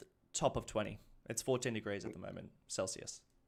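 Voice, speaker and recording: A man with an Australian accent, medium-pitched and fairly quick, on a very clean recording with a silent background. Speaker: gaming streamer. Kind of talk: live stream chat. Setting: live stream.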